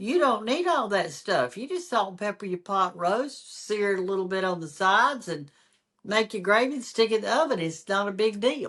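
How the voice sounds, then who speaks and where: A woman speaks with a Southern US accent. Her intonation is lively. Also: medium pitch for a woman, moderate pace. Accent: Southern American. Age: 70s. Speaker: home cook and social media cooking teacher. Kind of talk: interview answer.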